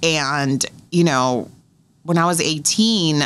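This woman has a very deep, low pitch and an American accent. Her pitch varies in an ordinary way. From US West Coast (California). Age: 30s. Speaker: radio host. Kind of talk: casual interview. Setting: studio. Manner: animated. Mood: relaxed, reflective. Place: studio. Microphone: studio mic.

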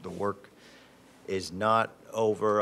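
Fairly low in pitch, a man talks with monotone, flat intonation against light background noise. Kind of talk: meeting report. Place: hall. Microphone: podium.

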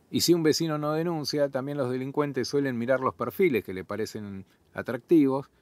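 With a Buenos Aires accent, a man speaks at a fairly quick pace and a fairly high pitch with ordinary pitch variation, the sound dry and close with no echo on a very clean recording against a silent background. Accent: Rioplatense Spanish (Buenos Aires). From Argentina, Buenos Aires southern suburbs. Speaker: journalist and podcast host. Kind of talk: solo podcast commentary.

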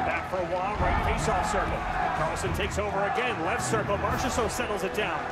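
Fairly quick speech over loud background music. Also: man. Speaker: hockey radio play-by-play announcer. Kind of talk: live hockey play-by-play radio call. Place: stadium. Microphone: headset.

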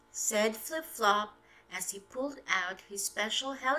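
Ordinary pitch variation in a stretch of plain reading aloud.

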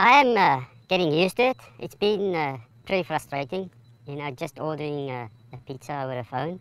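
A man puts on a squeaky character voice with a fairly high pitch. He talks at a fairly quick pace with lively intonation. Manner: hesitant.

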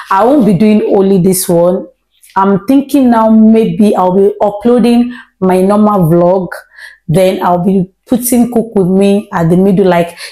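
A woman speaks in a dark, mellow tone with ordinary pitch variation. The background is quiet. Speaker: home cooking vlogger. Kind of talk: casual vlog chat. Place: kitchen. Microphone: lapel.

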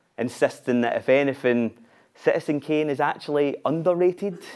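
This voice belongs to a man. His accent is Scottish. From Glasgow, Scotland. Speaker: spoken word performer. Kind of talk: live theatre monologue, spoken word. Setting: live stage with audience. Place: stage.

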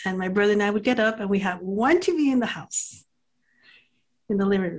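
Against a quiet background, a woman's fairly high, somewhat breathy voice moves with lively intonation. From US, El Paso, Texas; Texas. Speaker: podcast co-host and art educator; podcast co-host, art educator. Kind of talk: casual chat. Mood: warm, smiling. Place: home room. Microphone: webcam.

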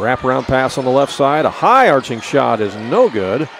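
A man speaks at a moderate pace with ordinary pitch variation. The sound is dry with no echo, and there is noticeable background noise. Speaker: basketball play-by-play announcer. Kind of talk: live sports commentary, play-by-play call. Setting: courtside broadcast at a basketball game. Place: hall. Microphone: headset.

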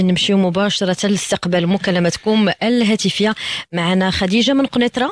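The voice shows ordinary pitch variation, recorded dry with no echo over a quiet background. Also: woman. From Morocco. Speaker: radio presenter. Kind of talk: radio presenting. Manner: formal. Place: studio.

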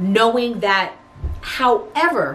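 There is light background noise behind this woman's voice. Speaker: lifestyle vlogger. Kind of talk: casual vlog chat. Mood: reflective, sincere. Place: home room. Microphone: camera far.

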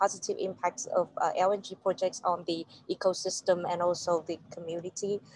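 Woman's voice, monotone and flat, at a moderate pace with a dry sound and no echo. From Vietnam. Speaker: journalist. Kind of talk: panel discussion. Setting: video call from a moving shuttle bus. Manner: halting. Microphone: video call.

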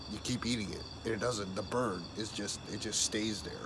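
Noticeable background noise sits behind a man talking at a moderate pace. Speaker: food challenge vlogger. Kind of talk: casual vlog chat. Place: garden. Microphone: phone near.

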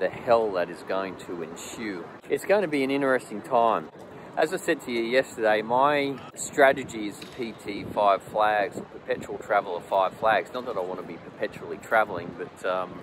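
At a moderate pace, a man speaks with big swings in loudness over noticeable background noise, the sound dry with no echo. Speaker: expat commentator. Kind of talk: casual vlog chat. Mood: concerned but calm. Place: street. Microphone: phone near.

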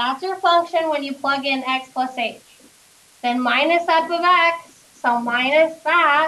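Speaking at a fairly slow pace, a woman uses a raised, projected voice that sits high in pitch, with ordinary pitch variation. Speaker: math teacher. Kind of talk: classroom lecture. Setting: classroom with students. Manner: conversational, checks in with class.

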